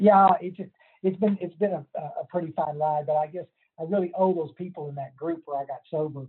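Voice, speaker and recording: Speaking in a Texas accent, a man has a high pitch and fairly even intonation. His pace is fairly quick. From Texas Hill Country. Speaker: recovery counselor and sponsor. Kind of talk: casual interview.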